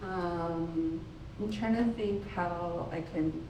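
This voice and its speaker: With noticeable background noise and audible room echo, a voice moves very slowly through very wide pitch swings. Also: woman. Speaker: photographer, exhibiting artist. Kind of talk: panel discussion at artist talk. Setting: gallery talk with audience, microphone.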